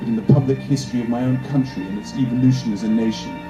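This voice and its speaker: A man talks at a medium pitch while music plays in the background. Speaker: actor. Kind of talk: literary reading. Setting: outdoors, cemetery, pocket camera microphone.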